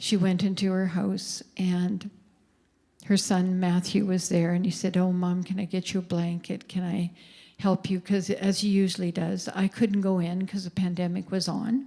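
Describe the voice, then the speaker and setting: A woman talks in a Canadian accent with a dark, mellow tone. Her delivery is somewhat breathy and monotone, with flat intonation. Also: medium pitch for a woman, moderate pace, very clean recording, silent background. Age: 70s. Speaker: anti-trafficking advocate. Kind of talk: talk to church audience.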